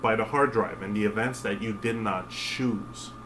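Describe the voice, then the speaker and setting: Audible room echo joins noticeable background noise in this recording. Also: man. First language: French. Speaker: spiritual vlogger. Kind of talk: casual monologue. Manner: halting, many fillers.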